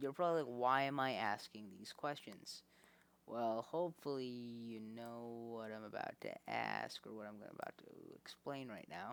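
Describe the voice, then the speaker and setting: A man speaks quietly at a medium pitch. His pitch varies in an ordinary way. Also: moderate pace, big swings in loudness. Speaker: math tutor. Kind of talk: casual tutorial explanation. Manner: quiet, low volume.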